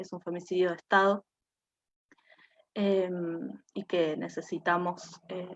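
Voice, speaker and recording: This woman speaks at a very slow pace in a medium pitch. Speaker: feminist activist. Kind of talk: panel talk. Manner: many filler sounds.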